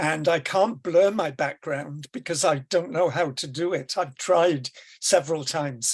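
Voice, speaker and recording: High male voice in a Welsh accent, at a fairly slow pace with ordinary pitch variation. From Wales. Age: 70s. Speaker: educator on deaf-blindness. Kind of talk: presentation. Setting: video call from bedroom.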